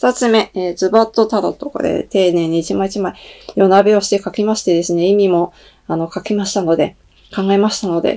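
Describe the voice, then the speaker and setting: A woman with a dark, mellow tone speaks at a fairly quick pace against a quiet background. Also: fairly even intonation. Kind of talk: announcement monologue to viewers.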